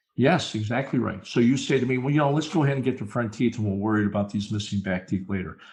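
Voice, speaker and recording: A man's medium-pitched, somewhat breathy voice with ordinary pitch variation, a very fast pace and hardly any pauses. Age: 60s. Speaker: dentist turned speaker and consultant. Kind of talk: podcast interview.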